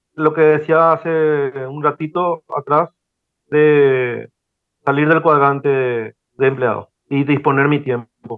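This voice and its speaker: Very slowly and with monotone, flat intonation, a man speaks at a fairly high pitch. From Paraguay. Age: 40s. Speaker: operations manager and online course student. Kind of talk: mentoring conversation. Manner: halting, many fillers.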